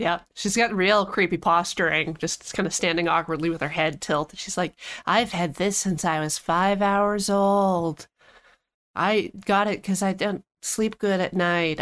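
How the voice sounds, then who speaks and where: A woman with an unremarkable speaking voice talks at a medium pitch with fairly even intonation on a very clean recording with a silent background. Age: 30s. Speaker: podcast co-host and editor. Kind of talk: casual chat.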